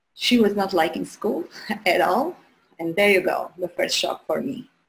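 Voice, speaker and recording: A woman speaks at a moderate pace in an Albanian accent. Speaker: human design coach, guest host. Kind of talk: live show presentation.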